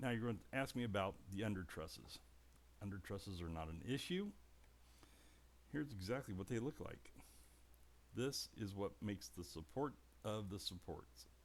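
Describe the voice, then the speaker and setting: With vocal fry and a fairly low pitch, a man speaks at a moderate pace, swinging his pitch very widely and leaving long, frequent pauses. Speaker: model building hobbyist. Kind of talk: tutorial. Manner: animated.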